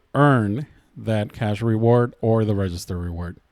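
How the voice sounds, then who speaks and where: A man with a plain, everyday voice speaks at a moderate pace, with ordinary pitch variation. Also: very clean recording, silent background. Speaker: couponing youtuber. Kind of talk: tutorial.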